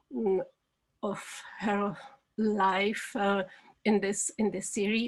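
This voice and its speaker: Delivered very slowly, the speech keeps a fairly even intonation. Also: woman, medium pitch for a woman. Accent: Czech. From Czech Republic. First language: Czech. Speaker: documentary film director. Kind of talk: interview. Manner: halting, many fillers.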